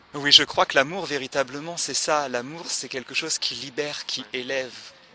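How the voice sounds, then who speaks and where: A man with a fairly high voice talks at a moderate pace and with fairly even intonation over noticeable background noise. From France, Le Mans. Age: 30s. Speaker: artist and theatre director. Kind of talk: interview conversation. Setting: outdoors in a park. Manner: halting.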